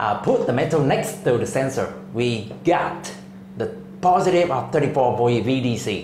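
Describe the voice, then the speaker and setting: A man speaks at a fairly slow pace. Noticeable background noise and audible room echo fill the recording. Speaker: industrial automation tutor. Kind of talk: tutorial. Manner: halting.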